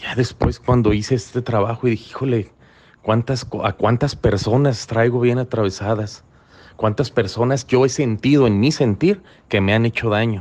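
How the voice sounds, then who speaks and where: The speaker has a Mexican accent and fairly even intonation. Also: man, medium pitch for a man, moderate pace. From Mexico, Colima. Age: 40s. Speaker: recovery group speaker. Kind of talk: personal testimony talk. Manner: halting, repeats words.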